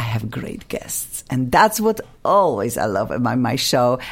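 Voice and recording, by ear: A woman at a fairly slow pace, with big pitch swings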